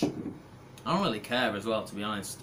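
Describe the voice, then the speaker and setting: A bright, sharp tone with audible room echo. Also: man. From UK. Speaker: youtuber, online English teacher. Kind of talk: casual chat answering viewer comments. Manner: relaxed, many fillers.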